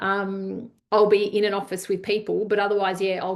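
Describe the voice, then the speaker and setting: A woman speaks with vocal fry over a quiet background. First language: Italian. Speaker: leadership coach. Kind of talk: online masterclass. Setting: video call.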